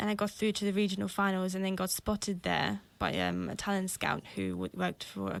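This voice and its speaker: A woman at a fairly quick pace in a very clean recording with a silent background. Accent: slight South African. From England. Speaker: singer-songwriter. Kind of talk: radio interview. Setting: radio studio.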